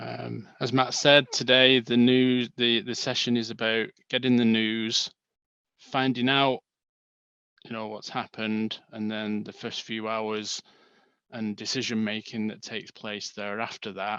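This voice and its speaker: A man with an English accent, medium pitch, bright and sharp tone, monotone and flat intonation, fairly slow pace, and a quiet background. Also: big swings in loudness. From northern England, Manchester. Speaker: bereaved father and stillbirth charity volunteer. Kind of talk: webinar presentation.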